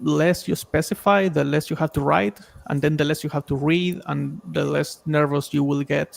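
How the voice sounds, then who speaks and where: A man speaks at a fairly slow pace with a non-native accent. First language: not English. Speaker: stream panelist giving feedback. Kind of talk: casual feedback chat on a stream. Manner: conversational, filler-heavy.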